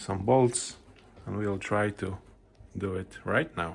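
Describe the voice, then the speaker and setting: A man speaks with a non-native accent and lively intonation. Noticeable background noise runs underneath. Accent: non-native English speaker. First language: not English. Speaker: machine builder. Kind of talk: workshop demonstration narration.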